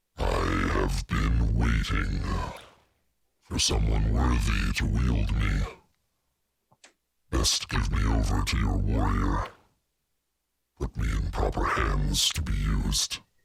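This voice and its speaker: Whispering and growling in a put-on character voice, a man speaks at a fairly slow pace. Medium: actual play. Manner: haughty, condescending.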